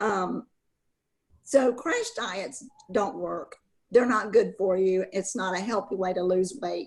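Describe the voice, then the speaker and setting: A woman speaks very slowly with vocal fry. Long pauses come often. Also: medium pitch for a woman, ordinary pitch variation. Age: 70s. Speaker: guest sharing a success story. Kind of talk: testimony. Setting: group call.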